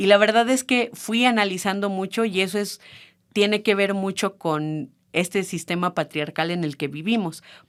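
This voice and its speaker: On a very clean recording with a silent background, a woman at a medium pitch talks at a moderate pace with ordinary pitch variation. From Mexico, San Luis Potosí. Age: 30s. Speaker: feminist activist, childcare worker. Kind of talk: podcast interview. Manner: hesitant, many fillers.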